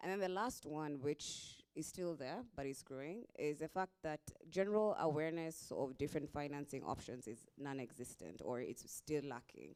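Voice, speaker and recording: Someone speaks with a Kenyan accent at a moderate pace. There are hardly any pauses. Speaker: investor. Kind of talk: panel discussion.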